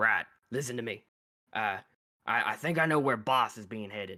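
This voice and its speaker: A man's put-on character voice, raspy and medium-pitched, at a moderate pace. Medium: actual play. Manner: hesitant, stammering.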